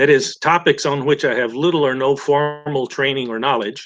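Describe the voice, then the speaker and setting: In a Texan accent, a man speaks at a moderate pace with a fairly high pitch and ordinary pitch variation. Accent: Texan American English. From Texas. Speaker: chemist giving a guest talk. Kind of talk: lecture. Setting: webinar video call. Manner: halting, many fillers and restarts.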